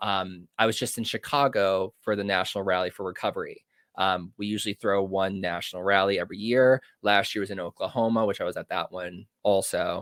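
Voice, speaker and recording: In an American accent, a man speaks at a fairly low pitch, recorded dry and close with no echo on a very clean recording with a silent background. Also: fairly even intonation, fairly quick pace. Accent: New Jersey-like on some words. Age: 20s. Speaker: podcast host in addiction recovery. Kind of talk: casual chat.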